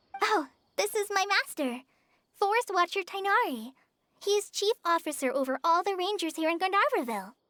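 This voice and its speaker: Put on as a character voice, this one has an extremely high pitch and a fairly quick pace. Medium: video game. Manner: hesitant, stammering.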